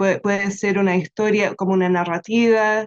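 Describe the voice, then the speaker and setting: In an English accent, a woman speaks at a very slow pace with fairly even intonation. The sound is dry and close, with no echo. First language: English (speaking Spanish). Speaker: researcher presenting a storytelling project. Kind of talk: answering a question in an online webinar. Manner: halting, many fillers.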